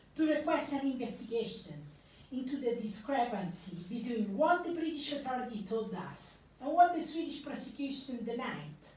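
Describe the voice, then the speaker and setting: Audible room echo surrounds a woman speaking at a moderate pace, her high pitch full of lively intonation. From Italy. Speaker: investigative journalist. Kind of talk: public talk.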